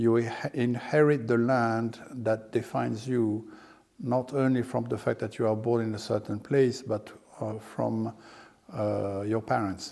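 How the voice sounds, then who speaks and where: Over noticeable background noise, a man talks at a fairly slow pace, his medium-pitched voice keeping a fairly even intonation. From France. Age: 60s. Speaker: landowner and financier. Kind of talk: interview. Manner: hesitant, many fillers.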